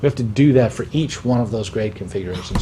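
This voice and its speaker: Over noticeable background noise, a man speaks at a fairly quick pace in a medium pitch with ordinary pitch variation. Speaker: school building project manager. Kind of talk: presentation at public meeting. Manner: fast; stuttering repetitions.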